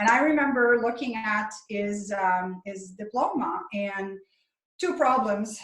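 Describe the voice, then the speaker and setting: Speaking at a very slow pace with a French Canadian accent, a woman's fairly high voice comes through with audible room echo. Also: ordinary pitch variation. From French Canada. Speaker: chiropractor and author. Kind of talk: interview.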